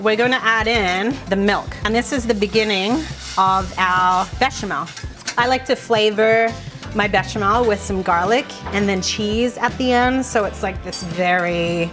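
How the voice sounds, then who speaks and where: Over clear music in the background, a woman talks fairly slowly with ordinary pitch variation. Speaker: cooking host. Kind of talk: cooking tutorial. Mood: cheerful, upbeat. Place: kitchen.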